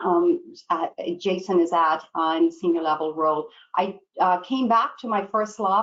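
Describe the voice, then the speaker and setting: A woman speaks with a slight Irish accent. Her pitch sits in the medium range. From Ireland. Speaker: pharmaceutical training director. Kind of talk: panel discussion. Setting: webinar video call.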